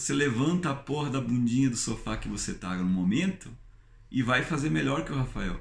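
A man's somewhat breathy, medium-pitched voice with very wide pitch swings, at a fairly quick pace, with audible room echo. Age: 30s. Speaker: YouTuber. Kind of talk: vlog monologue. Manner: animated.

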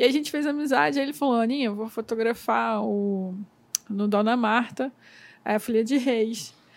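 A normal speaking voice is heard here. The pace is moderate and the pitch moves in an ordinary way. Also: woman, fairly high pitch for a woman. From interior of Rio de Janeiro state. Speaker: podcast host, photographer. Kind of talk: casual interview.

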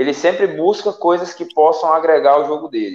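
Pitched high, a man speaks at a fairly quick pace. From Salgueiro, Pernambuco, Brazil. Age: 20s. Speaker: MMA fighter. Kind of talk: casual interview on live stream.

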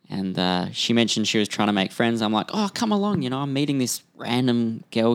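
At a fairly quick pace, the voice comes through on a very clean recording with a silent background. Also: man. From Western Australia. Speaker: podcast co-host. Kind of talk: casual chat.

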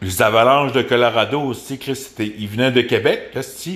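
Speaking with a Quebec accent, a man with a medium-pitched voice goes at a fairly slow pace with fairly even intonation. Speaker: podcast host. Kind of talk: casual rant. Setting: at home by a window. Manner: halting.

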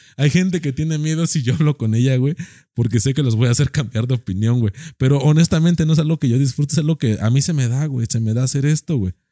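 A very fast-talking man with a Mexican accent, medium in pitch with ordinary pitch variation and a dark, mellow tone. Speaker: podcast co-host. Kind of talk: casual chat. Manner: animated.

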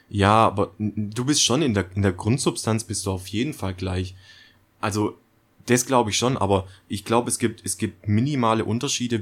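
Heard on a very clean recording with a silent background, a man with an unremarkable speaking voice talks at fairly low pitch and a moderate pace. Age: 20s. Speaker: podcast co-host. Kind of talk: casual chat.

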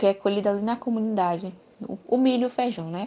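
A plain, everyday voice, this woman speaks at a medium pitch with fairly even intonation. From Bahia, Brazil. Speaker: university student interviewer. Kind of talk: interview.

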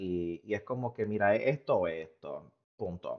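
Fairly low in pitch, a man talks in an ordinary speaking voice with ordinary pitch variation. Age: 30s. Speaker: podcast co-host. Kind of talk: casual chat.

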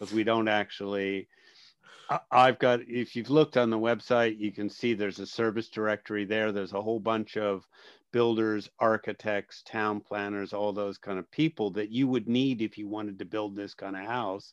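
A man with an American accent and an ordinary speaking voice, fairly low pitch, fairly even intonation and a moderate pace, in a dry, close sound with no echo against a quiet background. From New Jersey, US. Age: 50s. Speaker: entrepreneur and public speaker. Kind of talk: casual interview chat.

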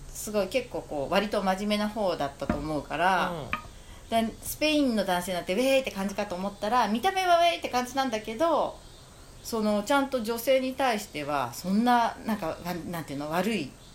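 Noticeable background noise surrounds a woman with a fairly high voice. She talks fairly quickly, her pitch swinging very widely. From Japan, Kamakura. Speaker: shop owner. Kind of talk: casual chat.

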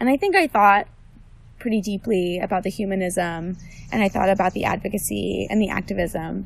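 A woman with an American accent in an unremarkable speaking voice, at a medium pitch with fairly even intonation. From New Jersey. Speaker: medical student. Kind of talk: casual interview. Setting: outdoors in a forest.

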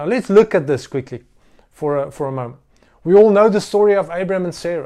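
A high-pitched man with an Afrikaans South African accent speaks with lively intonation and a dark, mellow tone on a very clean recording with a silent background. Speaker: pastor. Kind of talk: sermon. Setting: recorded livestream sermon during lockdown. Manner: halting.

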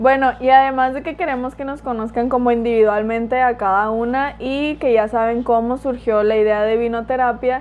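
Her high-pitched voice keeps a fairly even intonation throughout. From Mexico, Culiacán, Sinaloa. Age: 20s. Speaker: podcast co-host. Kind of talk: casual chat.

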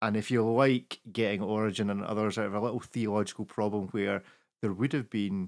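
A man with a Scottish accent speaks at fairly low pitch with ordinary pitch variation. The recording is very clean with a silent background. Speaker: podcast host. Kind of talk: casual chat.

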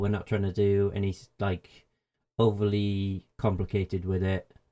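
Speaking at a fairly slow pace, a man with a British accent has a fairly low voice and a dark, mellow tone. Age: 30s. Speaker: gaming website editor. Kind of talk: casual chat. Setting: video call.

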